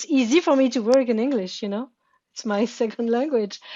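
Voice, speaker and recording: Speaking with a French accent, a woman uses a fairly high pitch. Her pace is moderate and her pitch variation ordinary. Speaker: therapy session participant. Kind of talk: therapy session conversation. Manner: halting, repeating words.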